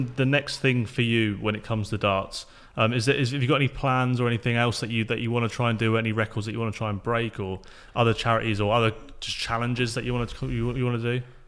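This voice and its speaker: A man with an unremarkable speaking voice talks at a fairly quick pace and medium pitch. The recording is very clean, with a silent background. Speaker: podcast host. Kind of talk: casual interview chat.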